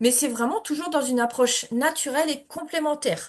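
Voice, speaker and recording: A woman's voice with ordinary pitch variation. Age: 40s. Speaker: energy healer and essential oils seller. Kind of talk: sales pitch. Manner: hesitant, frequent fillers.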